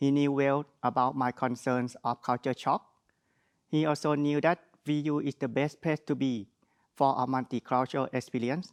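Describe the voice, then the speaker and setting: Someone with a strong Thai accent speaks at a moderate pace with very even loudness and fairly even intonation. The sound is dry and close with no echo, and the background is quiet. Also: man, fairly high pitch for a man. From Thailand. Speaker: graduate student speaker. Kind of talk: graduation speech. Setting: graduation ceremony. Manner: formal.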